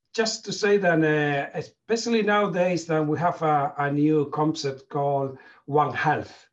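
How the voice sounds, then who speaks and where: Slow-paced and fairly high in pitch, a man talks with a Spanish accent. His pitch variation is ordinary and his loudness very even. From Spain. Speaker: veterinarian, company manager. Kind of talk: panel discussion. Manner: halting.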